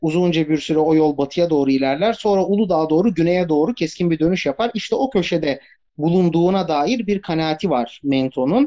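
A man with a plain, everyday voice, fairly high-pitched, at a fairly quick pace with ordinary pitch variation. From Turkey, Bursa. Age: 30s. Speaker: historian and tour guide. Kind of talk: casual chat. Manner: filled pauses.

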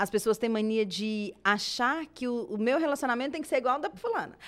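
This woman's voice sits fairly high in pitch. Her intonation is lively. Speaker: podcast co-host. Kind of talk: casual chat.

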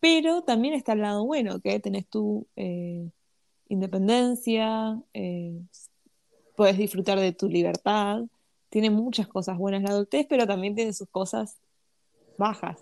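A medium-pitched woman in a Rioplatense accent, with long, frequent pauses and a dry, close sound with no echo. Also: ordinary pitch variation, fairly slow pace, quiet background. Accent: Argentine Spanish (rioplatense). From Argentina. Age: 20s. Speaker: podcast co-host. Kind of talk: casual chat.

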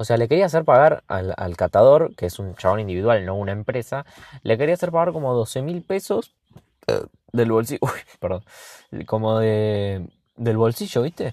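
A man with an Argentine accent, dark and mellow in tone at a medium pitch, lively in intonation, at a moderate pace broken by long, frequent pauses, in a dry, close sound with no echo over a quiet background. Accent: Rioplatense Argentine Spanish. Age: 20s. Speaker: podcaster. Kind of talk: casual solo monologue. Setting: in a car. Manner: halting, many fillers and repetitions.

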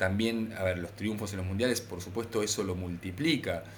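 A man with a Rioplatense accent, with audible room echo. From Argentina. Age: 40s. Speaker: author. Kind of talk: casual interview. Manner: halting, many fillers.

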